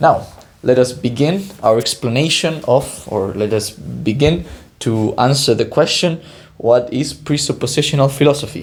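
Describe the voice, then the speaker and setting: A man's voice with vocal fry and a non-native accent, at a moderate pace with ordinary pitch variation, in audible room echo. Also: medium pitch for a man. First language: Spanish. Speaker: PhD student, educational YouTuber. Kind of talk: lecture. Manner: halting, many fillers.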